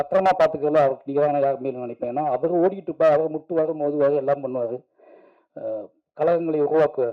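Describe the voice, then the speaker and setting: A man with an ordinary speaking voice and ordinary pitch variation. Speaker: film director giving a speech at a film song launch event. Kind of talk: emotional stage speech at a movie launch event.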